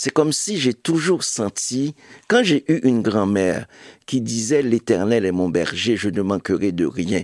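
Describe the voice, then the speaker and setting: With a Haitian accent, a man speaks at a fairly slow pace with lively intonation. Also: medium pitch for a man, dry, close sound with no echo. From Haiti, Cavaillon. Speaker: writer and publisher. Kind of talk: interview.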